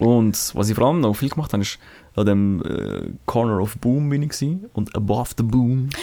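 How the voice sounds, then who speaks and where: On a very clean recording with a silent background, the voice carries a dark, mellow tone. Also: man, medium pitch for a man, ordinary pitch variation, moderate pace. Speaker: podcast co-host. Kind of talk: casual chat.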